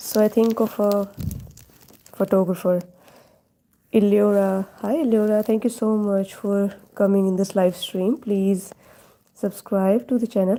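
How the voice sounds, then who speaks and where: A woman of medium pitch speaks in an Indian accent with a dark, mellow tone and fairly even intonation. Her pace is fairly slow, with long, frequent pauses and very even loudness. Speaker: live-stream drawing host. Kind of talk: casual live stream chat. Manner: thinking aloud, hesitant.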